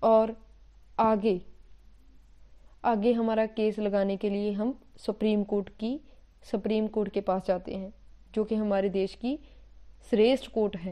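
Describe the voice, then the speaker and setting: A woman's fairly high, dark, mellow voice with a slight Punjabi accent, monotone and flat, broken by long, frequent pauses. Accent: slight Punjabi touch in Hindi. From Punjab, India. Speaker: teacher. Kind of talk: lecture. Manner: halting, self-correcting.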